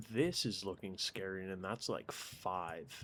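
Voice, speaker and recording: A man is whispering. His voice is quiet. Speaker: gaming YouTuber. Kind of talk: gameplay commentary. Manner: quiet, near whisper; casual.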